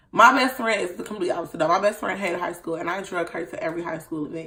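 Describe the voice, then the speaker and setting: Loud and animated, a woman with an American accent swings very widely in pitch over noticeable background noise. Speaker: vlogger. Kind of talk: casual vlog talk.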